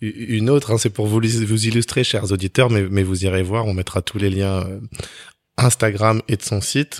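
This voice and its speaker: This man has a normal speaking voice, fairly low in pitch, with fairly even intonation at a moderate pace. The recording is very clean with a silent background and a dry, close sound with no echo. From France, Togolese-Beninese family. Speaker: podcast host, consultant. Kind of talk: interview. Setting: art gallery.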